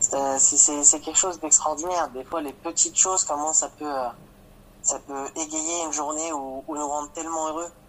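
Against noticeable background noise, a man with a fairly high pitch speaks at a moderate pace in a flat monotone. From France, Champagne-Ardenne. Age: 20s. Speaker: father sharing his experience. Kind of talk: testimony. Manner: halting.

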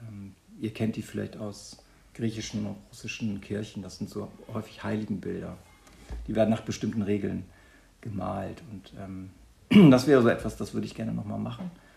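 A man at a moderate pace with big swings in loudness, music in the background. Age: 50s. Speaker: teacher. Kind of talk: interview.

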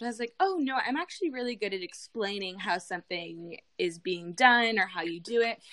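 Speaking with a Canadian accent, a woman uses a bright, sharp tone, lively intonation and a fairly quick pace. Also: medium pitch for a woman, hardly any pauses. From Canada. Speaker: beauty vlogger and influencer. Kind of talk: casual interview.

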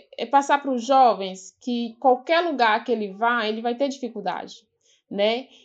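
Fairly slow delivery against a quiet background. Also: woman. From Vale do Mucuri, Minas Gerais, Brazil. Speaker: quilombola educator. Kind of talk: casual interview conversation.

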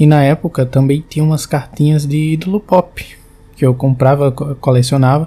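Somewhat breathy, the voice has a dark, mellow tone and very even loudness. It keeps a moderate pace and fairly even intonation. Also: man, fairly high pitch for a man. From Brazil, João Pessoa (Paraíba). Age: 20s. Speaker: listener sharing a personal ghost story. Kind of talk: recorded personal testimony.

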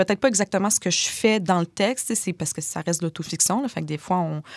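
Recorded very cleanly against a silent background with a dry, close sound and no echo, a woman speaks at medium pitch and a fairly quick pace with ordinary pitch variation. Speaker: author. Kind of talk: casual interview conversation. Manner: slight speech difficulty when stressed.

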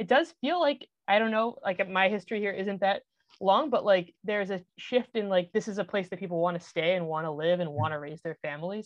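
With a plain, everyday voice, a woman talks at a fairly quick pace and medium pitch, her intonation lively and hardly any pauses. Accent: American. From Massachusetts, Boston area. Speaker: podcast host. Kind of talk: interview hosting.

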